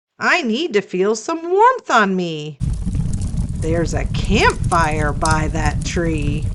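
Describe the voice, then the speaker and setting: A woman does a put-on character voice at a medium pitch, speaking at a very slow pace. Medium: read story. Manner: cheerful.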